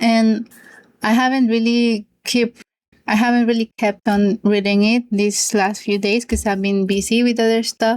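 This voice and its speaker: A woman's fairly high, monotone voice with a Spanish accent, very even loudness, a moderate pace and a dry, close sound with no echo. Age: 20s. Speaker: book youtuber. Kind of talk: casual monologue vlog.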